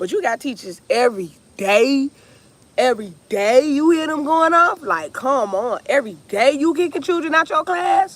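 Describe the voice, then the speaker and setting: Loud and animated, a woman speaks at a moderate pace in a high voice with very wide pitch swings. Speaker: music teacher and vlogger. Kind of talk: casual vlog chat.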